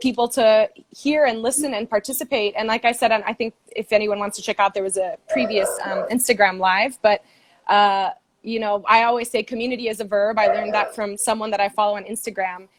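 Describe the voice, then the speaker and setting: With an American accent and a plain, everyday voice, the speaker keeps fairly even intonation at a fairly quick pace, in a dry, close sound with no echo. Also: woman. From Brazil, grew up all over the world. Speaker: fundraiser and campaign supporter. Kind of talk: casual interview on a livestream. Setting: Instagram live video call.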